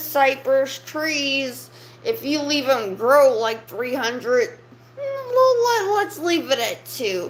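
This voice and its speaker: A woman with a high pitch and lively intonation is heard over noticeable background noise. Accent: American. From US South, South Louisiana. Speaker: livestreamer. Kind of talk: casual livestream rant. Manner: animated.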